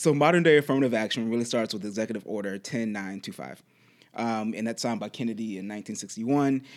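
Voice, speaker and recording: Over a silent background on a very clean recording, a man with an American accent talks fairly quickly in a plain, everyday voice with ordinary pitch variation. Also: medium pitch for a man. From Charlottesville, Virginia, US. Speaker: podcast co-host. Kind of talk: casual chat.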